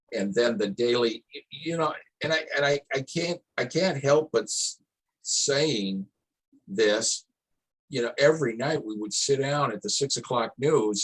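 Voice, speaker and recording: Somewhat breathy, a man with an American accent speaks at a fairly slow pace with lively intonation. The sound is dry and close, without echo. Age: 60s. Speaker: town hall panelist. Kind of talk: panel discussion. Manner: halting, repetitive starts.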